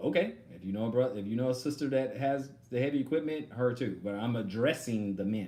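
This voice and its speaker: A man with a dark, mellow tone talks fairly fast at medium pitch, with hardly any pauses and ordinary pitch variation. Room echo is audible. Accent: American. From Texas. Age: 40s. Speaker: online religious teacher. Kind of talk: live stream Q&A. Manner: halting.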